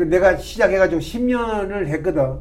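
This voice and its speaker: A man talks in a high pitch with lively intonation. The room echo is audible. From Gyeongsang region, South Korea (Gyeongju, Pohang). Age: 80s+. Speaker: retired pastor. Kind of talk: interview storytelling.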